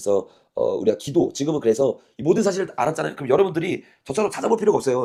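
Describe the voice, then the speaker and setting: A man talks at a very fast pace. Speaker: pastor. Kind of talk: live Q&A after sermon.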